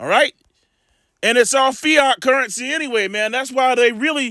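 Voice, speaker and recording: A man uses a raised, projected voice at an extremely high pitch. The sound is dry and close with no echo, on a very clean recording with a silent background. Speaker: religious commentator. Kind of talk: casual monologue; reading aloud. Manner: halting.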